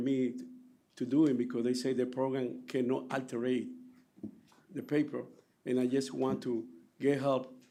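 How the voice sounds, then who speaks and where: A man speaks at a moderate pace and a medium pitch. Audible room echo surrounds his voice. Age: 60s. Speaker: taxi driver giving public testimony. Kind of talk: public hearing testimony. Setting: public hearing room. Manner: halting.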